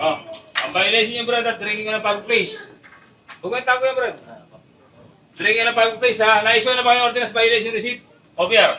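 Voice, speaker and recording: Over noticeable background noise, a man talks very fast in a raised, projected voice, his pitch extremely high for a man and his intonation fairly even, with long, frequent pauses. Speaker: police commander. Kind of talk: confrontation during police operation. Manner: loud; firm.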